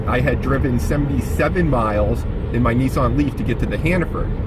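The sound is dry with no echo, and background noise is noticeable. The pace is moderate. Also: man. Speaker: vlogger. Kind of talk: casual vlog chat. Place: car.

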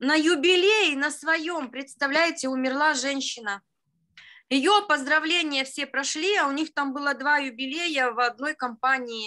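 In a quiet background, a woman with a high pitch and a bright, sharp tone uses a raised, projected voice at a fairly slow pace with ordinary pitch variation. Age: 50s. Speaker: participant sharing a story. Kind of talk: storytelling, testimonial. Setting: video call. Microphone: video call.

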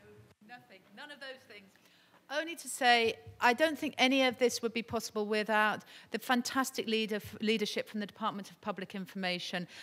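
A woman with a British accent talks at a fairly quick pace in a fairly high voice with ordinary pitch variation. Her loudness swings widely. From Britain. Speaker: UN development advisor; speaker. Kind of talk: conference panel talk. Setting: stage with audience. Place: hall. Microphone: podium.

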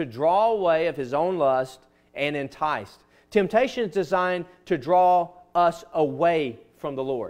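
A man talks at a fairly slow pace with a Southern US accent. The background is quiet. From US South. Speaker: pastor. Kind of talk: sermon. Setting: church. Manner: earnest, conversational preaching. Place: church.

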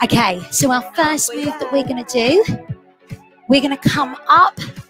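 Clear music plays in the background. A woman speaks over it at a fairly slow pace. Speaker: fitness instructor. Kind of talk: workout class instruction. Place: home room. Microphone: headset.

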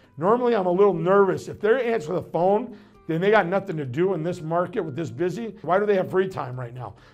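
Faint music plays behind a man with a high pitch. He talks at a very fast pace. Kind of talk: promotional advice talk. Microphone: lapel.

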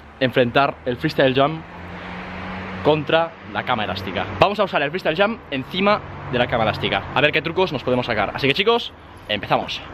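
Noticeable background noise is present throughout. Over it, a man talks fairly quickly. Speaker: video creator. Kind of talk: casual vlog chat. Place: garden. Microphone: phone near.

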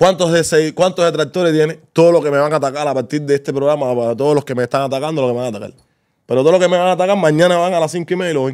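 A man with a Cuban accent speaks at a very fast pace. His pitch is fairly high, and the background is quiet. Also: ordinary pitch variation. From Havana, Cuba. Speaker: co-host. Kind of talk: casual chat. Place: studio. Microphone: studio mic.

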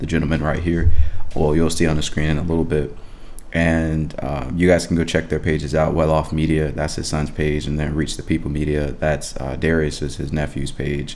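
A man's voice sits very deep and low, with vocal fry and a monotone, flat delivery. He talks at a fairly quick pace over light background noise. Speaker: reaction video host. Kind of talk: casual vlog chat. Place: home room.

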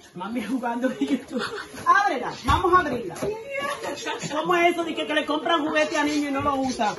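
Over noticeable background noise, a woman talks at a fairly quick pace in a raised, projected voice. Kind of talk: casual family home video chat. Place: kitchen. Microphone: phone near.

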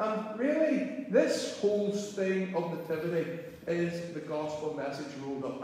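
A man's lively intonation at a fairly slow pace, in strong room echo. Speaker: minister. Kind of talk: sermon. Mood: warm, light-hearted. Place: church. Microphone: camera far.

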